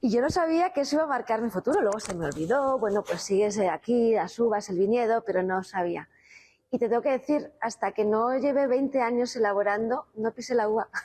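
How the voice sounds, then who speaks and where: A woman talks at a fairly quick pace. Her pitch is fairly high, and her tone is dark and mellow. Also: lively intonation. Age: 50s. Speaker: winemaker. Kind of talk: interview. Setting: on location at a winery.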